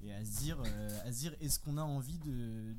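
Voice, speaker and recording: A man at a very slow pace, with audible room echo. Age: 20s. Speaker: software engineer. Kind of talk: casual chat.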